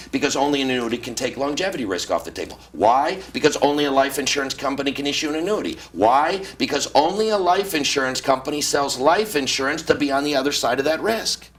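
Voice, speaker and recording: Over noticeable background noise, a man with a fairly high pitch talks at a very fast pace with hardly any pauses. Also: lively intonation. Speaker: retirement planning author. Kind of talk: interview. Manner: animated.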